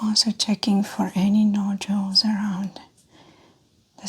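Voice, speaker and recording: Soft-spoken and calm, a woman talks at a very slow pace. Her medium-pitched voice stays monotone and flat. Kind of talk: soft-spoken roleplay medical exam, clinical instructions to a patient. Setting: close-mic ASMR recording. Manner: soft-spoken, calm.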